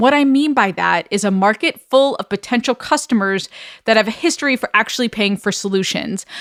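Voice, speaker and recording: A woman with an American accent speaks at a fairly quick pace in a fairly high pitch, her intonation lively, on a very clean recording with a silent background and a dry, close sound with no echo. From New York. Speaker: course creation coach, podcast host. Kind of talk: solo podcast monologue. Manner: direct, upfront.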